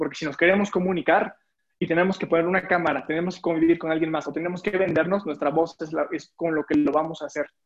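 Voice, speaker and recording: Very fast speech comes in a monotone, flat intonation. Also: man, high pitch for a man. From Mexico, Puebla. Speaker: public speaking coach. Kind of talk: casual interview.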